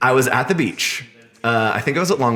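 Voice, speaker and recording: A man speaks in an animated tone with ordinary pitch variation over noticeable background noise. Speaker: designer and artist. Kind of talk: casual interview chat. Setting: coworking space. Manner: animated, many fillers; loud.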